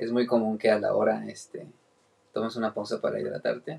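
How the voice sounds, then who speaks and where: A man speaks in a Mexican accent at a fairly quick pace. Noticeable background noise can be heard. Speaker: podcast host. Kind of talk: casual chat.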